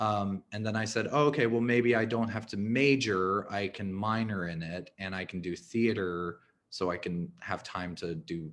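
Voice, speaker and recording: A man at a fairly slow pace and medium pitch. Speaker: arts fundraiser. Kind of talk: webinar interview. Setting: video call webinar. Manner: casual, halting with fillers.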